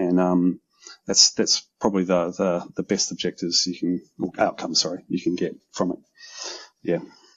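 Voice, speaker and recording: A man with a New Zealand accent at a moderate pace. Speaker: OT security consultant. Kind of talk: casual interview conversation. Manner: hesitant, many ums.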